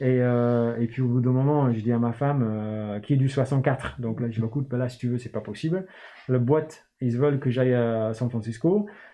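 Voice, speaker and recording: Medium-pitched and at a moderate pace, a man talks with ordinary pitch variation. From northern England, Newcastle. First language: English (speaking French). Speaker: start-up founder and CEO. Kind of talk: interview. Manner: hesitant, many fillers.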